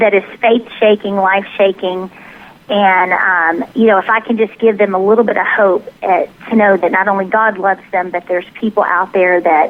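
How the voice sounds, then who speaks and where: A woman talks at a moderate pace in a Southern US accent. Her intonation is fairly even, and background noise is noticeable. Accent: mild Southern. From US South, Tennessee. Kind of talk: interview.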